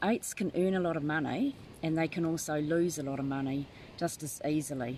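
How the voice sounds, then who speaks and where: With a New Zealand accent, a woman talks fairly quickly in a very deep, low voice with ordinary pitch variation. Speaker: tarot reader. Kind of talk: live stream chat. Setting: live video from a tent. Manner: halting.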